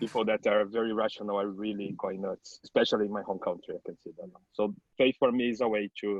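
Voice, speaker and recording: A man with a Portuguese accent, at a fairly low pitch and a very fast pace, with fairly even intonation. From Brazil. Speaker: publishing consultant. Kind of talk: online panel discussion. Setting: video call.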